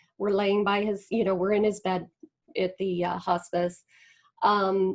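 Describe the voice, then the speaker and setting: A woman talks in a plain, everyday voice at medium pitch and a moderate pace. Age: 50s. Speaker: spiritual community founder. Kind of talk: interview.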